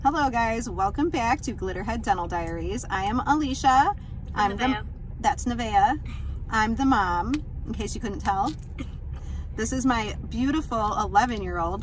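A woman speaks fairly slowly with ordinary pitch variation and long, frequent pauses. The sound is dry with no echo, over light background noise. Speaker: mom vlogger. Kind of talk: casual vlog chat. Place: car. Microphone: phone near.

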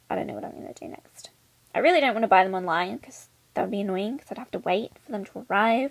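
A woman speaks at medium pitch in a croaky voice with vocal fry.

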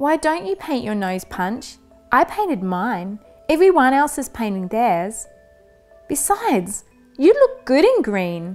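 A put-on character voice moves slowly with big pitch swings. The tone is slightly mellow, with faint music in the background. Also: woman, high pitch for a woman.

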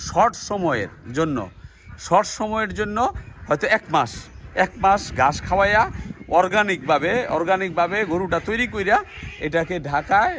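A man with a high-pitched voice and ordinary pitch variation speaks against noticeable background noise. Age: old. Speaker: farm owner and video blogger. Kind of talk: casual vlog narration and chat. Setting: outdoors on a farm.

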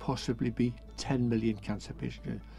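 The sound is dry with no echo as a man talks. Faint music plays in the background. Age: 70s. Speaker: charity founder. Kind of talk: interview; interview answer. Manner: halting. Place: bus.

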